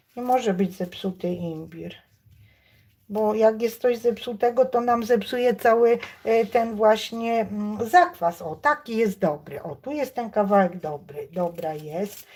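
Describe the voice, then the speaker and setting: A woman talks at a medium pitch with lively intonation. Her pace is very slow. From Poland, village near Stargard (West Pomerania). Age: 60s. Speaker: cooking YouTuber. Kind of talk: live cooking stream chat. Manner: casual, hesitant with fillers.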